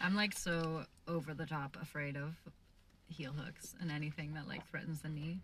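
A woman's very deep, low voice with a Canadian accent and monotone, flat intonation. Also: moderate pace. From Canada. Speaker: podcast host and jiu jitsu practitioner. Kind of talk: casual interview.

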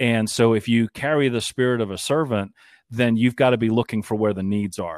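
An ordinary speaking voice, a man with an American accent talks at a fairly quick pace and medium pitch with fairly even intonation, recorded very cleanly against a silent background with a dry, close sound and no echo. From US Northeast, Boston area. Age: 50s. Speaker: radio broadcaster and station owner, Air Force veteran. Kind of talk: interview conversation.

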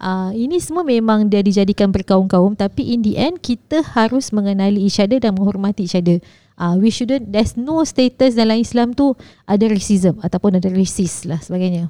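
Over a quiet background, a woman with a dark, mellow tone and medium pitch talks at a moderate pace with ordinary pitch variation and hardly any pauses. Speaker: podcast co-host. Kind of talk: casual chat.

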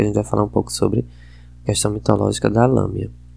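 A man speaks with a northeastern Brazilian accent. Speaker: podcast host. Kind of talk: casual film review monologue. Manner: hesitant, many fillers.

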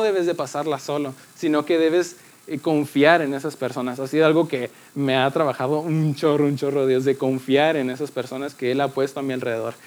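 This man talks at a fairly quick pace with fairly even intonation and a fairly high pitch, in an unremarkable speaking voice. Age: 20s. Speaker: youth church speaker. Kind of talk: sermon.

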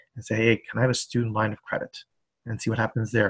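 A man's somewhat breathy voice comes across dry and close with no echo, on a very clean recording with a silent background. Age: 50s. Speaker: high school personal finance teacher. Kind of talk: interview. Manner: hesitant, many fillers.

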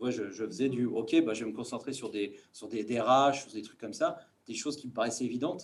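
Speaking at a fairly quick pace, a man with an unremarkable speaking voice holds a medium pitch with ordinary pitch variation and big swings in loudness. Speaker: business school student. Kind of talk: group discussion.

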